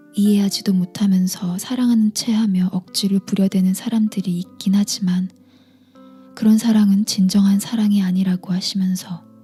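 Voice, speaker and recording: A woman's medium-pitched voice, calm and soothing in tone, monotone and flat, at a moderate pace over background music. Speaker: audiobook reader / book YouTuber. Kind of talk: ASMR book reading, bedtime. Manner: soft-spoken, calm, soothing.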